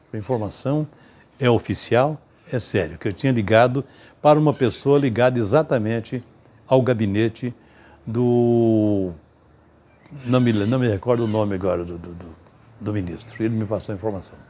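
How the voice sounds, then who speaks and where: A man's medium-pitched voice, dark and mellow, with ordinary pitch variation, big swings in loudness and long, frequent pauses, on a very clean recording with a silent background. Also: moderate pace. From Goiás, Brazil. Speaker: veteran radio announcer. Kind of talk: interview answer, recounting anecdotes.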